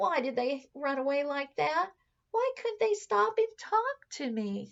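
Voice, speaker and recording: A woman puts on a character voice, pitched high and swinging very widely up and down at a fairly slow pace. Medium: read story. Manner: timid, earnest.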